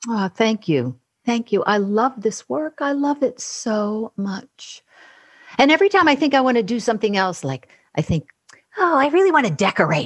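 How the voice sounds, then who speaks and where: Against a quiet background, a woman speaks at a moderate pace in a fairly high, somewhat breathy voice with very wide pitch swings, the sound dry and close with no echo. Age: 60s. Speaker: voice and speech coach. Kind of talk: casual interview conversation.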